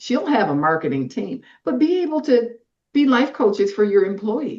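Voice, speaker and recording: Vocal fry and very wide pitch swings mark a woman's fairly high voice as she talks at a moderate pace. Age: 60s. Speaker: workwear designer and former construction worker. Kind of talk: interview conversation. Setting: podcast interview.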